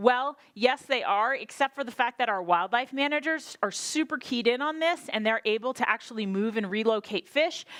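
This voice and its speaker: In an animated, energetic tone, a woman with a high pitch and ordinary pitch variation talks with hardly any pauses, the sound dry and close with no echo. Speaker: state drought planning official. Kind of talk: conference presentation. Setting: workshop with audience. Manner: fast.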